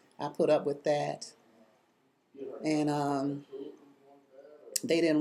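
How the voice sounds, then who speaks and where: A woman speaks with an American accent in a dark, mellow tone. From Chicago, US. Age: 70s. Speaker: oral history interviewee. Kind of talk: oral history interview. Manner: halting, with frequent fillers.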